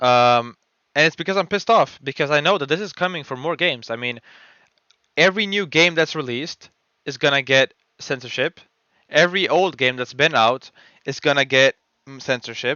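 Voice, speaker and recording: With long, frequent pauses, a man speaks at a fairly quick pace in a fairly high voice with ordinary pitch variation. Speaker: gaming YouTuber. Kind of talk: unscripted rant. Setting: voiceover over gameplay footage. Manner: rambling, disfluent with fillers.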